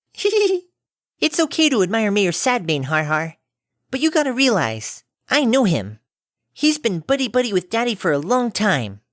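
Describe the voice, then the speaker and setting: In a very clean recording with a silent background, a put-on character voice at a fairly high pitch moves at a moderate pace through very wide pitch swings. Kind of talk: fan fiction audiobook reading. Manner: bubbly, upbeat.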